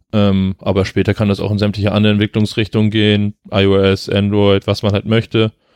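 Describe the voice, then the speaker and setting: At a fairly quick pace with hardly any pauses, the voice stays monotone and flat, its loudness very even, in a dry, close sound with no echo. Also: man, fairly low pitch for a man, quiet background. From northern Germany, Flensburg. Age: 20s. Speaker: amateur competitive swimmer. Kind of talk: casual interview. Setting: at the guest's place.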